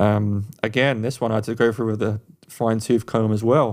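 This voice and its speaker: At a moderate pace, a man with an English accent speaks in a medium pitch with fairly even intonation, captured in a very clean recording with a silent background. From England. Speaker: podcast co-host, music producer. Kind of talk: advice; music review.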